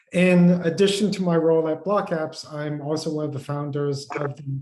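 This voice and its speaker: A man talks at a moderate pace in a dark, mellow tone that is somewhat breathy. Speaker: tech company co-founder and product executive. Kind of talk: panel webinar discussion.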